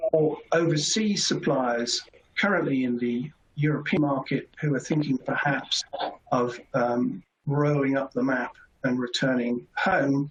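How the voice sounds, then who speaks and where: The speaker talks at a fairly slow pace. The accent is British. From Britain. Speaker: competition lawyer. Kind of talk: webinar presentation. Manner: formal.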